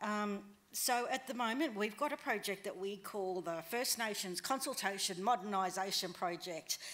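Speaking with an Australian accent, a woman keeps a moderate pace. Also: medium pitch for a woman, ordinary pitch variation. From northwest New South Wales, Australia. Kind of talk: conference talk. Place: hall. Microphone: podium.

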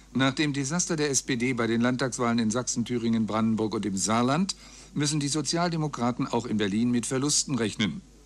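The man talks at a fairly quick pace, with ordinary pitch variation and very even loudness. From Germany. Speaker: radio news announcer. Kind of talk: radio news reading. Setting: radio broadcast, 1999 recording. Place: booth. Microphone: studio mic.

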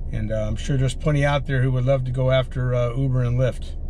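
This man talks at a fairly quick pace with fairly even intonation. Light background noise can be heard. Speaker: rideshare driver vlogger. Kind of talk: casual vlog chat. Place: car. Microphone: camera far.

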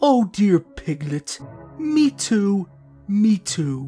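A female-sounding put-on character voice speaks at middle pitch and a very slow pace, with very wide pitch swings. Faint music plays in the background. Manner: soft, mild, fretful.

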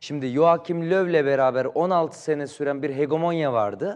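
A man with a fairly high pitch speaks at a moderate pace in an ordinary speaking voice with ordinary pitch variation. The background is quiet. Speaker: football commentator. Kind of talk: TV talk show. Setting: TV studio.

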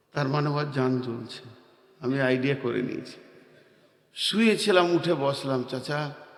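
A man's fairly high pitch with ordinary pitch variation and audible room echo. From India, Bardhaman, West Bengal. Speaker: Islamic preacher. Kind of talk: sermon. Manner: animated.

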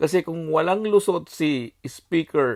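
The sound is close and dry, without echo. Intonation is lively. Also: man. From Bicol, Philippines. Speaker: political commentator vlogger. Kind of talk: monologue. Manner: animated.

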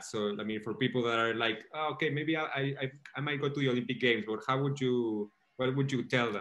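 With long, frequent pauses, a man talks at a very fast pace with fairly even intonation. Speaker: interviewer host. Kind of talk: casual interview. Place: home room. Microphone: video call.

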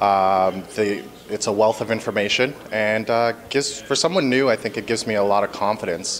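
At a moderate pace with hardly any pauses, a man speaks fairly low with ordinary pitch variation against light background noise. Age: 30s. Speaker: new insurance advisor. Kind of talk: interview testimonial. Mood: positive testimonial. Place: hall.

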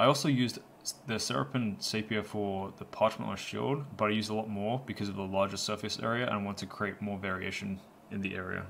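A man talks at a very fast pace with a fairly low pitch. Noticeable background noise is present. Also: ordinary pitch variation. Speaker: miniature painting youtuber. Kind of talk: tutorial voice-over. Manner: casual, rambling with fillers.

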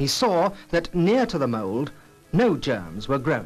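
Over music in the background, a man speaks at a fairly slow pace with a fairly high pitch and very wide pitch swings. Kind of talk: documentary narration.

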